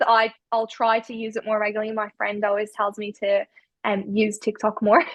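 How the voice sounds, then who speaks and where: Her intonation is monotone and flat, and the woman's pitch is fairly high. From Ireland. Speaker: spiritual healer. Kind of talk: podcast interview. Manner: hesitant, many fillers.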